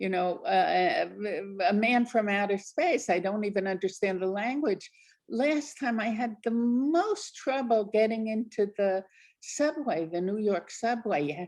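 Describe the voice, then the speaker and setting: The speaker moves at a fairly slow pace with lively intonation. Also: woman, fairly high pitch for a woman. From New Jersey, US. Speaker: author. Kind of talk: interview.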